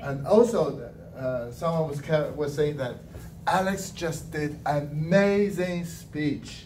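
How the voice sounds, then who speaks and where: A man speaks at a very slow pace with ordinary pitch variation, and audible room echo surrounds his voice. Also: fairly high pitch for a man. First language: Mandarin Chinese. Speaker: language evaluator at a speaking club. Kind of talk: speech evaluation.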